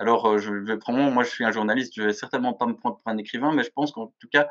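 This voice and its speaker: With fairly even intonation, a man speaks in a medium pitch. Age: 40s. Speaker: journalist and magazine editor. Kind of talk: interview. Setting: video call. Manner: hesitant, many fillers.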